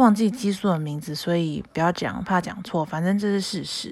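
A normal speaking voice from a woman, fairly low in pitch, at a moderate pace with ordinary pitch variation. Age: 20s. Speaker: podcast host. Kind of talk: casual solo chat.

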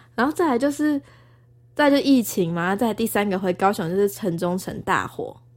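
Over a silent background in a very clean recording, a woman of medium pitch talks at a moderate pace with very wide pitch swings. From Taiwan, Tainan. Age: 20s. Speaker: former TV news reporter, graduate student. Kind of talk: casual chat.

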